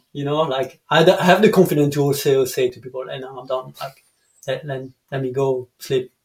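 A man speaks in a somewhat breathy, fairly high voice with a French accent. His intonation stays fairly even. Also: moderate pace, big swings in loudness. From France, Dijon. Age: 30s. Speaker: canyoning guide. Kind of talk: casual chat. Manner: halting.

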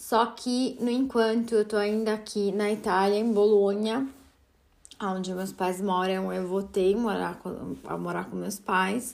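A woman with a slight Italian accent, medium pitch, fairly even intonation and a fairly slow pace. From Italy. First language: Italian (speaking Portuguese). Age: 30s. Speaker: podcast host. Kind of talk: solo podcast monologue.

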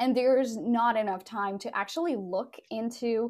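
In a very clean recording with a silent background, a woman with a Portuguese accent speaks at a moderate pace, her fairly high pitch carried by lively intonation. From Portugal. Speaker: podcast company founder. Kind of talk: casual interview chat.

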